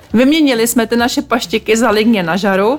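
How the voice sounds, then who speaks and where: A woman talks at a fairly quick pace with ordinary pitch variation. Noticeable background noise runs behind her. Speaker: podcast host. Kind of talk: scripted narration.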